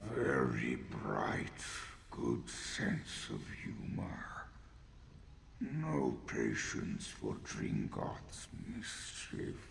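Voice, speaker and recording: A man puts on a character voice and speaks at a very slow pace. Long, frequent pauses break up his lines over clear background noise. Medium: video game. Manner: curt, dry.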